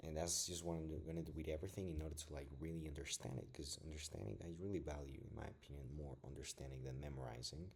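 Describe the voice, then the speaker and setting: The speaker has a non-native accent and talks at a very fast pace. There is vocal fry, and the intonation stays fairly even. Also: man. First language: not English. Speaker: self-taught physics student vlogger. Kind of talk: casual study vlog. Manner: casual, filler-heavy.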